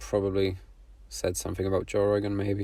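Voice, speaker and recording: On a very clean recording with a silent background, a man talks at a moderate pace in a dark, mellow tone that is somewhat breathy. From Poland. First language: Polish. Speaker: artist. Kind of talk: casual vlog monologue. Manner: halting.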